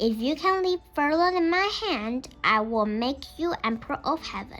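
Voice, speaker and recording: A woman uses a put-on character voice at a high pitch. She moves at a moderate pace with very wide pitch swings. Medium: read story. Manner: calm, stern.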